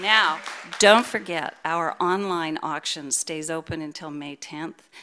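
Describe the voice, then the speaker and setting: Very slow speech with ordinary pitch variation and big swings in loudness, over noticeable background noise. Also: woman, fairly low pitch for a woman. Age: 70s. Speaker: worship associate. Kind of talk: church announcements and welcome. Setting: church service with congregation, streamed. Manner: warm, upbeat.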